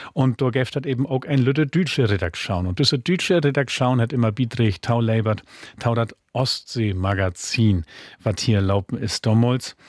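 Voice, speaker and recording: The speaker holds a moderate pace and very even loudness. Pitch varies in an ordinary way. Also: man. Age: 40s. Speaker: author and musician. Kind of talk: interview in Low German.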